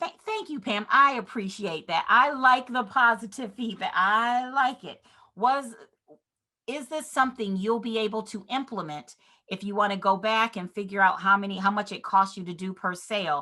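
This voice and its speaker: Against a quiet background, a woman talks at a moderate pace in a fairly high, bright and sharp voice, energetic in tone, with ordinary pitch variation and big swings in loudness. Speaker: real estate business trainer. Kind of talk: online seminar.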